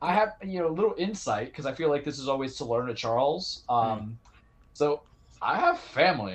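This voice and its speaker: Speaking fairly quickly, a man with an American accent swings his pitch very widely. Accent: Southern US with some New York. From New York. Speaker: sports podcast co-host. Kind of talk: casual chat.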